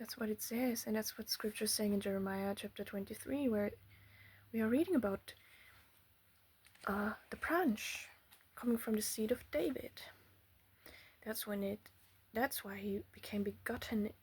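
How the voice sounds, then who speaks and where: A non-native accent, a moderate pace, and long, frequent pauses. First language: not English. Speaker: religious teacher. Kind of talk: bible teaching monologue. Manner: halting.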